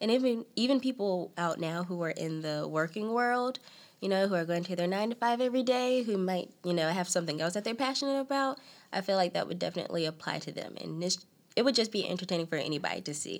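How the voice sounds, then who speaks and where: A woman with a North Carolina accent talks very fast at a medium pitch. Her intonation is lively, and the recording is very clean with a silent background. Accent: Southern US (North Carolina). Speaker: aspiring actress. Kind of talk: interview.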